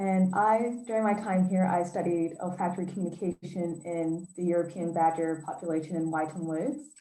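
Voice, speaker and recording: A woman with an American accent and a plain, everyday voice speaks at a moderate pace with hardly any pauses, her fairly low pitch held to a fairly even intonation. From United States. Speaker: doctoral student in zoology. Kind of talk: panel self-introduction. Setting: video call.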